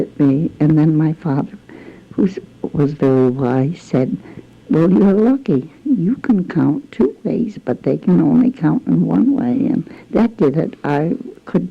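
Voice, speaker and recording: Speaking with an American accent at a fairly slow pace, a woman holds a very deep, low pitch and very even loudness. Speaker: local historian. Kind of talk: oral history interview. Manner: halting.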